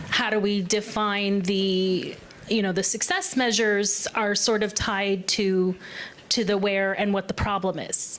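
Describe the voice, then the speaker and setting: Over noticeable background noise, a woman speaks at a fairly slow pace in a medium pitch, her intonation monotone and flat and her loudness very even. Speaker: workshop participant. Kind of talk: group discussion report-back.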